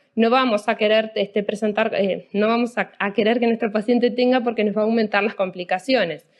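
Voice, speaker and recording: A woman speaks at a fairly quick pace in an ordinary speaking voice. Her pitch is fairly high, and her intonation stays fairly even. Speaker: anesthesiologist. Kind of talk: lecture.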